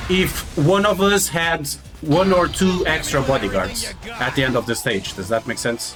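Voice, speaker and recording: Music plays in the background as a man with a Portuguese accent speaks at a fairly slow pace. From Portugal. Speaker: video game streamer. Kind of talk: live gameplay commentary. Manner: halting.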